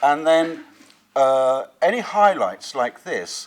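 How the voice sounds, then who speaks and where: This is a man speaking in a southern English accent. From southern England. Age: 50s. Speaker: watercolour painter and teacher. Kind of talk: painting demonstration; interview.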